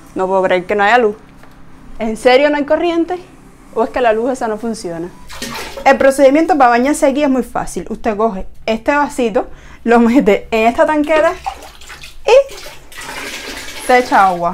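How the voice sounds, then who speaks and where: A woman's high voice at a moderate pace, with lively intonation, long, frequent pauses and light background noise. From Cuba. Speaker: vlogger. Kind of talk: casual house tour talk to camera. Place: home room. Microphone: lapel.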